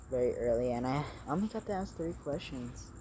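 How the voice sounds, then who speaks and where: Moderate pace from a man's voice. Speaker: vlogger. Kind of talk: casual monologue to camera. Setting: outdoors at night. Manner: halting, filler-heavy; speaking fairly loud.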